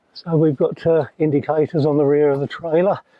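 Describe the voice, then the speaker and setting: At a moderate pace, a man with an East Anglian accent speaks at a fairly high pitch. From South Cambridgeshire, England. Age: 70s. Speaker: competitive ploughman, retired lorry driver. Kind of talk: documentary interview and narration. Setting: in a vehicle on the road. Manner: hesitant with frequent fillers.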